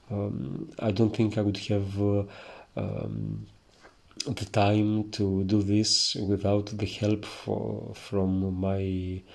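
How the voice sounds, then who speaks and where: A man speaks with a strong Greek accent at a fairly low pitch. His intonation stays fairly even. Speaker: iconography teacher. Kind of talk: tutorial. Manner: hesitant, many filler sounds.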